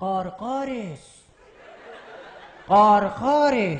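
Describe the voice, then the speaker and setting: A man speaks in a high, put-on character voice. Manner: cawing.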